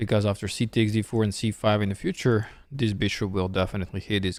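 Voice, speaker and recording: A man with a Serbian accent, fairly low in pitch, at a fairly quick pace. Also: very clean recording, silent background. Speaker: chess streamer and commentator. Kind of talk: live chess commentary. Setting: studio. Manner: casual, conversational.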